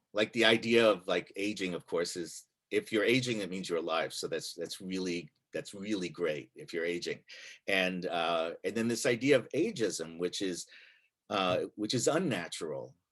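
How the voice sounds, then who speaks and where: The background is silent and the recording very clean. At a moderate pace, a man speaks. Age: 60s. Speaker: monologist and writer. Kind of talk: talk to a congregation. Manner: halting, many fillers.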